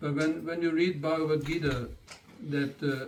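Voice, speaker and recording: In a German accent, a man speaks with fairly even intonation and a fairly high pitch. Room echo is audible. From German-speaking country. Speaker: spiritual teacher. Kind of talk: lecture. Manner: halting.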